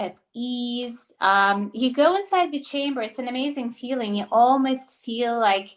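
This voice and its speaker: Talking at a fairly slow pace with hardly any pauses, a woman with a Russian accent has a high pitch and ordinary pitch variation. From Russia, later Toronto, Canada. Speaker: naturopathic doctor. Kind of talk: interview. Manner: hesitant, many fillers.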